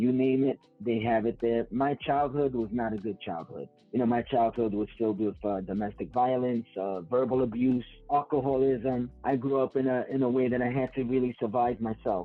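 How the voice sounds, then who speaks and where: A man with a New York accent talks at medium pitch, with hardly any pauses and fairly even intonation. Music plays in the background. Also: moderate pace. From New York City, South Bronx. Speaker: gang interventionist. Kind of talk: interview.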